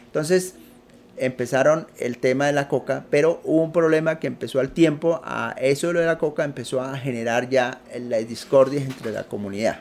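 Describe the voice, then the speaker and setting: A man with a fairly high voice and ordinary pitch variation talks at a moderate pace. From Colombia, Putumayo. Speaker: entrepreneur. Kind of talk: interview. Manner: halting.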